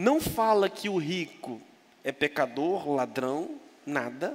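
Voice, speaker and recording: His voice swings very widely in pitch, sitting high for a man. The man talks at a very slow pace. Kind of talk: sermon. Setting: church.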